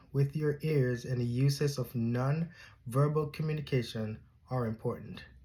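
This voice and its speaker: A man speaks with fairly high pitch and a dark, mellow, somewhat breathy tone. The recording is very clean, with a silent background. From Jamaica. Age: 30s. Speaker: graduate student. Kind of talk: class presentation. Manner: formal.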